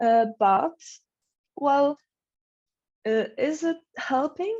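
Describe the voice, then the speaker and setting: A woman talks at a very slow pace in a dark, mellow tone with lively intonation. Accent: non-native. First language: not English. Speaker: conference presenter. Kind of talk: conference Q&A. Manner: halting, many fillers.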